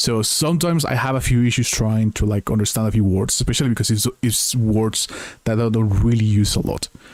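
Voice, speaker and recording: Fairly quickly and at a very even loudness, a man speaks at a medium pitch with ordinary pitch variation over noticeable background noise. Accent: non-native. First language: not English. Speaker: video game streamer. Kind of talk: gameplay stream reading game text aloud; casual chat to viewers. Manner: halting over unfamiliar words.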